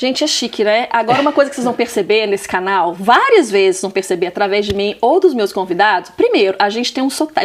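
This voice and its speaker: A woman's fairly high voice at a very fast pace, with lively intonation, hardly any pauses and noticeable background noise. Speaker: talk show host. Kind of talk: interview. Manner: animated.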